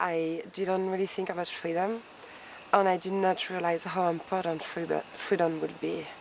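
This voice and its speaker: A woman's medium-pitched voice at a moderate pace. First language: not English. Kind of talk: scripted interview answers.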